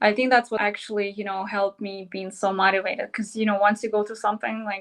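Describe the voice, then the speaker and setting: A woman speaks in a Russian accent at a fairly high pitch. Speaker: model and entrepreneur. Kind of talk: interview.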